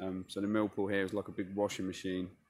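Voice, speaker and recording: This man's voice sits fairly low in pitch. The sound is dry with no echo, over light background noise. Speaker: angler vlogger. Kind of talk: casual vlog chat. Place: waterside. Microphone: phone near.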